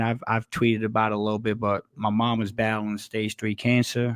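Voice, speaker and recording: At a moderate pace, a man with an American accent speaks in a monotone, flat intonation. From northern New Jersey. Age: 40s. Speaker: sports podcast guest, retired engineer. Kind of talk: casual chat.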